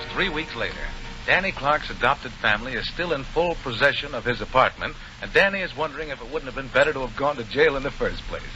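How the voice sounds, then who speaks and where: Noticeable background noise is present throughout. Over it, the words come very fast with ordinary pitch variation. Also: man, fairly high pitch for a man. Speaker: radio show host and announcer. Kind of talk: 1940s radio anthology show host narration.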